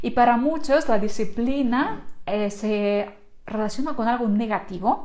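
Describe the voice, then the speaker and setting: In a quiet background, a woman speaks at a fairly slow pace and a fairly high pitch, with ordinary pitch variation. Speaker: online creator and course instructor; online creator, course instructor. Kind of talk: live stream talk to viewers. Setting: live stream. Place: home room. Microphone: lapel.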